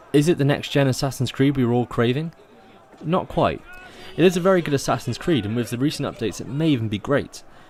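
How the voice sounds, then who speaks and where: A man with a southwest English accent speaks at a very fast pace, his fairly high pitch showing ordinary variation. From southwest England. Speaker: video game reviewer. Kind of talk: scripted review narration.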